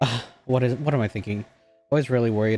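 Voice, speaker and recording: Over background music, a man at medium pitch talks very fast with ordinary pitch variation, the sound dry and close with no echo. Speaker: vtuber streamer. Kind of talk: casual live stream chat.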